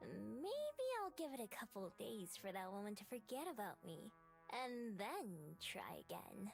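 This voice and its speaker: A put-on character voice at a fairly slow pace against clear background noise. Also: female-sounding voice. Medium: solo performance. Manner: guarded, wry.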